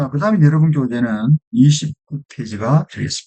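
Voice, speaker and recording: A fairly slow delivery from a man, fairly high in pitch, with an ordinary amount of pitch movement. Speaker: English teacher. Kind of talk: lecture.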